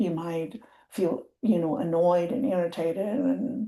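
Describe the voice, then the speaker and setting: With a Spanish accent, a woman speaks at a medium pitch. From Colima, Mexico. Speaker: program and project manager. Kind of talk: training webinar presentation.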